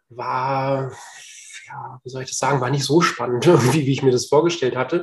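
This man's voice is fairly high and somewhat breathy. He keeps a moderate pace and fairly even intonation. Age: 40s. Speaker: real estate agent and property investor. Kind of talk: casual interview.

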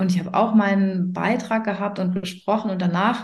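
A woman speaks at a moderate pace and medium pitch, somewhat breathy, in a monotone, flat intonation. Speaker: coach and mentor for self-employed mothers. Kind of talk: casual interview chat. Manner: frequent hesitations and fillers.

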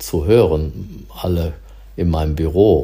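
Vocal fry runs through a dark, mellow tone as the voice swings very widely in pitch at a very slow pace. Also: man. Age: 60s. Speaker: diplomatic mission employee. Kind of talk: casual chat. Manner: halting.

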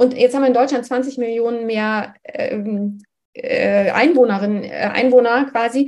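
Her pitch is high and her intonation fairly even as the woman talks at a fairly slow pace. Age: 50s. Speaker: menopause activist and nutrition scientist. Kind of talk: interview.

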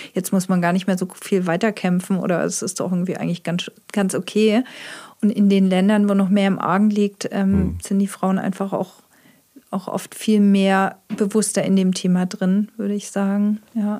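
At a moderate pace, a woman speaks in a monotone, flat intonation with a dark, mellow tone at medium pitch. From Heilbronn, Baden-Württemberg, Germany. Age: 50s. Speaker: illustrator and author. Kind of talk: casual interview.

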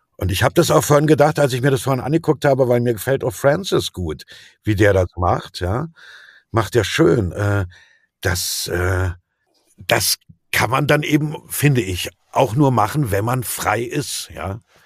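This man speaks at a fairly slow pace with lively intonation and a medium pitch. His voice is somewhat breathy, broken by long, frequent pauses. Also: dry, close sound with no echo. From Berlin, former East Germany. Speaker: actor and voice dubbing artist. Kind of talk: interview. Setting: remote call from home. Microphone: home studio microphone, excellent quality.

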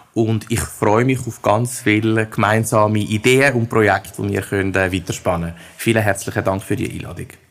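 Over noticeable background noise, a man speaks at a moderate pace with hardly any pauses. His pitch is fairly low and his intonation fairly even. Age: 30s. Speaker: head of recruiting and employer branding. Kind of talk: interview.

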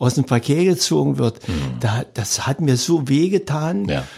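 A man speaks fairly slowly in a fairly high voice. His tone is dark and mellow, and somewhat breathy. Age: 70s. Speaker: sports event organizer, retired teacher. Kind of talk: interview. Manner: halting with frequent fillers.

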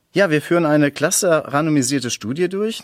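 In a plain, everyday voice, a man keeps a moderate pace and ordinary pitch variation. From Sauerland, Germany. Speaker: sports scientist, research associate. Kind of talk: interview.

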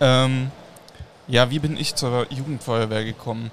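Against noticeable background noise, a man with a medium pitch speaks at a moderate pace. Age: young. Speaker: youth fire brigade official. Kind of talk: live podcast interview. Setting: mobile podcast studio at a trade fair.

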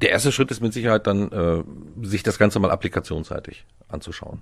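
A man speaks very fast, his pitch varying in an ordinary way, in a very clean recording with a silent background. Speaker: IT systems consultant team lead. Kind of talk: casual chat.

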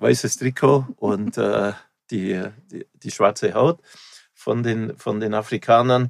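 A man speaks at a fairly slow pace with vocal fry. The sound is dry and close, with no echo. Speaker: festival founder. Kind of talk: interview. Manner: halting.

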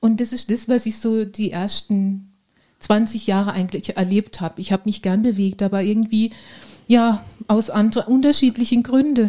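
Somewhat breathy and dark, mellow in tone, a woman speaks at a fairly high pitch and a moderate pace with fairly even intonation. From Baden, southwest Germany (Ortenau). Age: 40s. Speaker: fitness trainer and nurse. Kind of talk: casual interview.

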